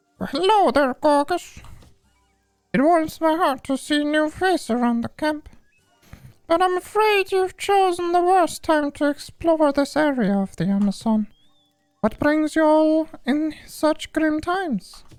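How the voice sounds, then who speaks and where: Putting on a squeaky character voice, a man speaks at an extremely high pitch and a fairly slow pace. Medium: game stream. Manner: warm, caring.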